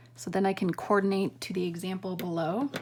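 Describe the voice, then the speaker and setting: At a moderate pace and medium pitch, a woman speaks over noticeable background noise. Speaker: math teacher. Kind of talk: tutorial.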